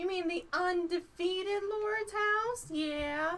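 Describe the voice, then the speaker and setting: In a put-on character voice, a woman speaks at an extremely high pitch and a very slow pace. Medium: actual play. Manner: casual, offhand.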